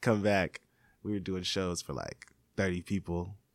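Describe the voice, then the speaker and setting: In a very clean recording with a silent background and a dry, close sound free of echo, a man with an American accent talks in a flat monotone at a fairly low pitch. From Seattle. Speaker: hip-hop artist. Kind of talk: interview.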